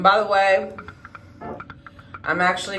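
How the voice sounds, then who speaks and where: A woman speaks at a fairly slow pace. Noticeable background noise and audible room echo fill the recording. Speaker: beauty vlogger. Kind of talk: tutorial. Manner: casual, with many fillers.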